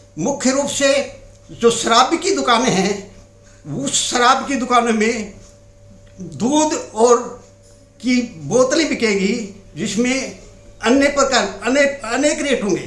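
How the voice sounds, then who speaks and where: Amid noticeable background noise and audible room echo, a man with an extremely high pitch leaves long, frequent pauses. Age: 70s. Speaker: anti-addiction activist. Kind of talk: interview monologue. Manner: halting.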